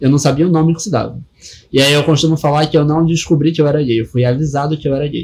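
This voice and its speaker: This man talks at a very fast pace in a fairly high pitch. His intonation stays fairly even, and his voice is somewhat breathy. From Rio de Janeiro, West Zone. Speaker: DJ and drag performer. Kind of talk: casual interview.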